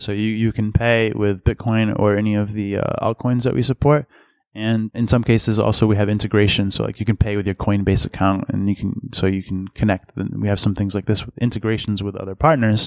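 An ordinary speaking voice with an American accent moves at a fairly quick pace with hardly any pauses and fairly even intonation, on a dry, close sound with no echo. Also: man, fairly low pitch for a man. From Massachusetts, US. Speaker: company executive. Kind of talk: interview. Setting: conference venue. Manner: repetitive false starts.

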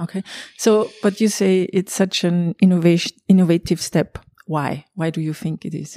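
A woman with a German accent talks at a moderate pace in a fairly low pitch, her tone dark and mellow and her intonation fairly even, on a dry, close, echo-free recording that is very clean with a silent background. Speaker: podcast host. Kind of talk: interview. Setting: conference venue.

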